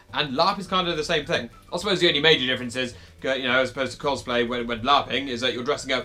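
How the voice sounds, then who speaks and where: With a British accent, a man speaks very fast at a medium pitch. Music plays in the background. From United Kingdom. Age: 20s. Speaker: vlogger, LARP player. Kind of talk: casual talk to camera.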